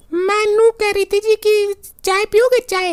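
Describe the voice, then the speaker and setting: A woman does a loud, squeaky, cartoonish character voice at an extremely high pitch. Her intonation is monotone and flat, and her pace is moderate. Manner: loud, bossy, threatening.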